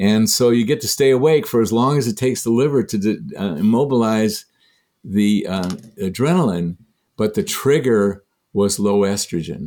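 Recorded very cleanly against a silent background, a man with an American accent and a dark, mellow tone speaks at a moderate pace, medium in pitch with ordinary pitch variation. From US Midwest (Michigan). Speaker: holistic physician. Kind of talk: interview.

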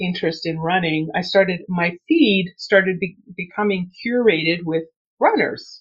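A woman talks at a moderate pace and medium pitch, with ordinary pitch variation. Hers is an unremarkable speaking voice. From Canada. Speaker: runner. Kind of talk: interview.

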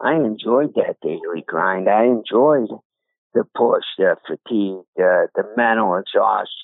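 At a fairly slow pace, a man speaks with very even loudness. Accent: American. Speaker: wrestling coach, former wrestler. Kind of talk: casual sports discussion. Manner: blunt, outspoken.

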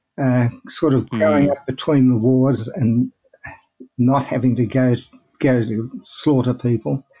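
In an Australian accent, a man talks at a fairly slow pace with a medium pitch and fairly even intonation. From Melbourne, Australia. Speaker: clinical psychologist. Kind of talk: interview.

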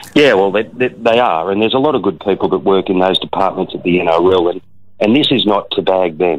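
In an Australian accent, a man talks with a very deep, low pitch and ordinary pitch variation. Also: fairly quick pace. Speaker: rugby league journalist. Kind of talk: radio interview. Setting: at the ground during a match.

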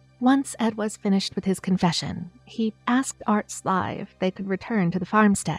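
A woman speaks with hardly any pauses and ordinary pitch variation. The sound is dry and close with no echo, and music plays in the background. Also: medium pitch for a woman, moderate pace. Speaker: podcast narrator. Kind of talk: true-crime narration. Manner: measured, hushed, ominous storytelling.

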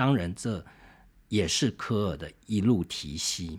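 A man with an unremarkable speaking voice talks at a fairly low pitch and a fairly slow pace, with lively intonation. The recording is very clean, with a silent background. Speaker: podcast host, book reviewer. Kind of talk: solo book review monologue.

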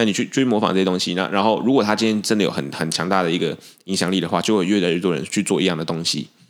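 Over a silent background on a very clean recording, a man with a very deep, low pitch talks at a very fast pace with ordinary pitch variation. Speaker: podcast co-host. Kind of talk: casual chat. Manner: halting.

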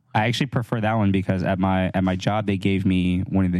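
This man has a normal speaking voice, fairly low in pitch, with fairly even intonation. He speaks at a fairly quick pace on a very clean recording with a silent background. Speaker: podcast co-host, software developer. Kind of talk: casual banter, tech podcast. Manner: joking, sarcastic.

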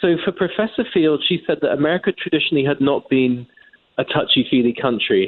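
With an English accent, a man speaks at a fairly quick pace in a fairly high pitch, his loudness very even and his pitch variation ordinary. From England. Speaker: journalist. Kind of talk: interview.

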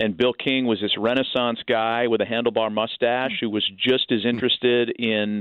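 A man talks in an American accent at a medium pitch. His intonation is monotone and flat. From Northern California, East Bay. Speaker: baseball broadcaster. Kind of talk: radio interview.

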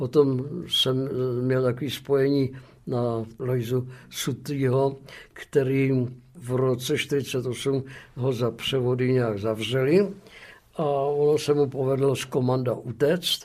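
The delivery comes at a very slow pace. Its intonation stays fairly even. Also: man, medium pitch for a man. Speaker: former anti-communist border guide. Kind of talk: interview testimony. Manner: colloquial, frequent fillers.

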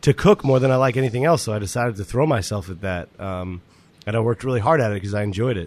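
This man has an unremarkable speaking voice with an American accent. His pitch is medium, with ordinary variation. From Boston area, Massachusetts. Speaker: chef and restaurant owner. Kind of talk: interview conversation.

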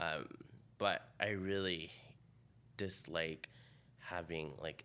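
With vocal fry and ordinary pitch variation, a man speaks. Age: 20s. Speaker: fashion photographer. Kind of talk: interview.

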